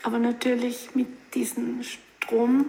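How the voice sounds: A woman's voice, fairly high in pitch, slightly mellow in tone, with vocal fry.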